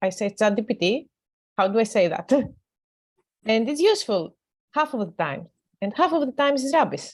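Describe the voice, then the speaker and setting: Lively intonation runs through this speech in a non-native accent. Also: woman. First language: not English. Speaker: academic. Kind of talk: panel discussion.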